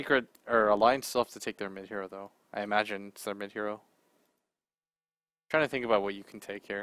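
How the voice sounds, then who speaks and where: Soft-spoken and fairly low-pitched, a man talks at a very fast pace with long, frequent pauses, fairly even intonation and big swings in loudness, in a dry, close sound with no echo. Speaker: esports commentator. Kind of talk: live commentary. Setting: studio.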